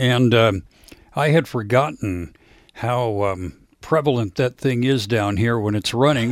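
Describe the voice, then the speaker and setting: A man with an American accent has an ordinary speaking voice at medium pitch with ordinary pitch variation. The recording is very clean, with a silent background. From US Midwest, Lincoln, Nebraska. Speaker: jazz radio host. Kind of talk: casual chat. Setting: home studio.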